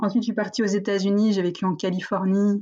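A woman speaks in a somewhat breathy voice against a quiet background. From northern France, near Valenciennes. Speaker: entrepreneur. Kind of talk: interview. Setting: video call.

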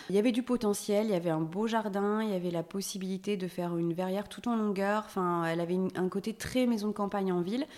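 A woman speaks at a very fast pace with hardly any pauses, her medium pitch and fairly even intonation. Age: 40s. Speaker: homeowner who renovated her house. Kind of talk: casual interview. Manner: hesitant, many fillers.

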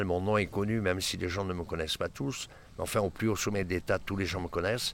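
A man talks in a plain, everyday voice, fairly low in pitch with fairly even intonation. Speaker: photographer. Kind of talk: interview. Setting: outdoors near city.

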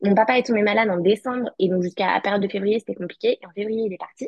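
Mid-range pitch from a woman, with normal movement up and down. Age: 20s. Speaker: law student. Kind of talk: testimony.

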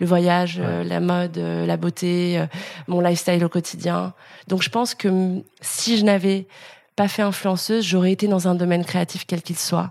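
A woman talks at a moderate pace in a fairly low voice with monotone, flat intonation. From France, Lyon. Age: 30s. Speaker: influencer and content creator. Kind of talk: interview. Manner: casual, hesitant with many fillers.

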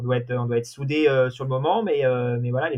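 A man with a medium pitch keeps his intonation fairly even and moves at a fairly quick pace. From Normandy, France. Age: 30s. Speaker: deputy race director, sailing. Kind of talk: interview. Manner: halting.

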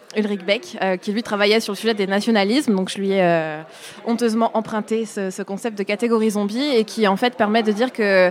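A woman speaks at a fairly quick pace in a fairly high voice with fairly even intonation, over noticeable background noise. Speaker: researcher. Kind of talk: interview.

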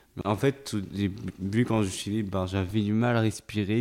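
At a fairly slow pace, the speech carries a dark, mellow tone and fairly even intonation. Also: man. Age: young. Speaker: young man with Williams syndrome. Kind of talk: intimate interview. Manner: halting.

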